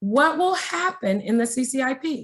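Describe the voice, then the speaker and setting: A woman talks at a very slow pace, her voice somewhat breathy. Her pitch swings very widely. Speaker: state education agency trainer. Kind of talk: webinar training presentation.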